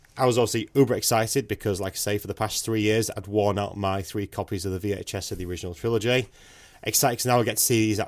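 The speech comes very fast with a British accent and fairly even intonation on a very clean recording with a silent background. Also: man. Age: 30s. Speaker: podcast co-host. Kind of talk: casual chat.

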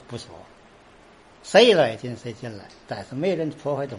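The man speaks at a moderate pace. His pitch moves through very wide swings. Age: 70s. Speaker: folk pole-climbing troupe leader. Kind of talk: interview. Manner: halting.

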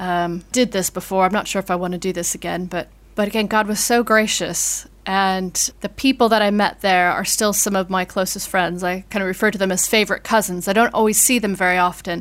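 On a very clean recording with a silent background, a woman with an American accent talks at a fairly quick pace, her medium pitch monotone and flat. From US. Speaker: vicar. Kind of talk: interview conversation.

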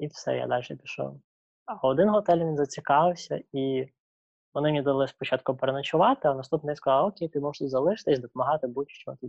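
A man speaks at a very fast pace with a fairly high pitch. His pitch moves in an ordinary way, and the sound is dry and close with no echo. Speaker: traveller. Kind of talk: interview.

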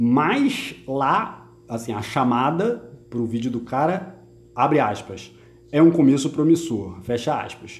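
Somewhat breathy, a man speaks at a medium pitch and a very slow pace. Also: lively intonation. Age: 50s. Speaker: football podcast host. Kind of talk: casual chat. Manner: animated.

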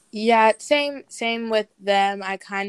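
Fairly slow and fairly even in intonation, a woman speaks in a plain, everyday voice. The sound is dry and close with no echo. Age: 20s. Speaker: family member guest. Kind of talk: casual panel discussion.

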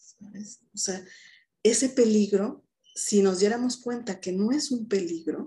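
A woman speaks at a very slow pace, somewhat breathy, with a dark, mellow tone. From Mexico, Mérida, Yucatán. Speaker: psychologist. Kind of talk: interview conversation.

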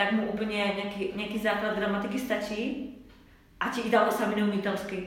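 A woman talks at a moderate pace and medium pitch in monotone, flat intonation, with noticeable background noise and audible room echo. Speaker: former expat in Italy, colleague of host. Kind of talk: casual interview. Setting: echoey room.

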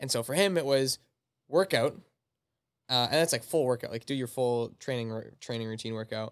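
This man speaks at a fairly quick pace with a Canadian accent, though with long, frequent pauses. His pitch is medium, with ordinary variation. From Canada, Manitoba. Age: 20s. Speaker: personal trainer. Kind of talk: casual chat.

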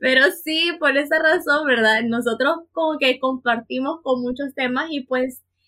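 A woman speaks in a raised, projected voice that is high, bright and sharp, with ordinary pitch variation. Her pace is fairly slow, with hardly any pauses. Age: 20s. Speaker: podcast co-host, psychologist and teacher. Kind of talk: casual chat.

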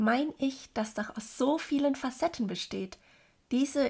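The voice sounds somewhat breathy, with ordinary pitch variation. The recording is very clean, with a silent background. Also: woman. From Germany. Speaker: podcaster. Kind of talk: personal monologue.

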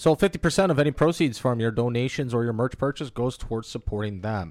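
A man speaks at a fairly quick pace in an unremarkable speaking voice, his pitch medium. The recording is very clean with a silent background and a dry, close sound with no echo. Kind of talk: casual banter, crude comedy chat. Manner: joking, playful.

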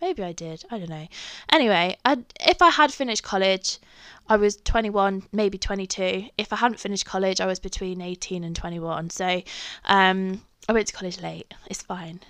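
A woman speaks in an English accent with big swings in loudness. The background is quiet. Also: medium pitch for a woman, ordinary pitch variation, moderate pace. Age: 20s. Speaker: podcaster. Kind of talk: casual storytelling monologue. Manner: chatty, with many fillers.

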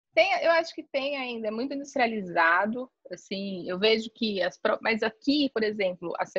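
A woman speaks at a fairly slow pace and a fairly high pitch, with a bright, sharp tone. Her intonation is lively, and the sound is dry and close with no echo. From Brazil, São Paulo. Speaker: travel agency owner. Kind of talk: casual interview.

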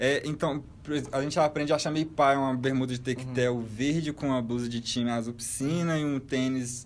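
A man speaks at a fairly quick pace in an unremarkable speaking voice. His pitch sits in the middle range, and his intonation stays fairly even. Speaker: podcast co-host. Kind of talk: casual chat.

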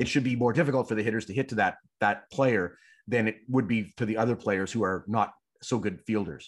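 At a fairly quick pace, a man with a Canadian accent speaks in an unremarkable speaking voice at medium pitch with ordinary pitch variation. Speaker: sports journalist. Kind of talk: casual interview.

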